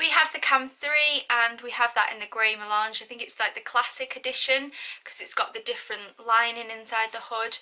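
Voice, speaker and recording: At a moderate pace, the speech comes through noticeable background noise. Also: woman. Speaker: parenting vlogger. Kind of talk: product review. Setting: filming at home in child's room.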